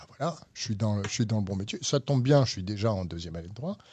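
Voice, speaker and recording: The background stays quiet. A man's voice comes through somewhat breathy. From France. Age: 60s. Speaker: lawyer. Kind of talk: interview.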